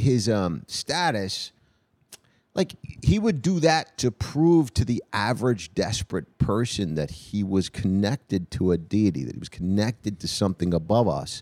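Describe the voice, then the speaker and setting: A man with a New York accent, fairly low pitch and a dark, mellow tone, at a fairly slow pace with very wide pitch swings, in a dry, close sound with no echo. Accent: New York area. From New Jersey / New York area. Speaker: comedian. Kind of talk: casual chat.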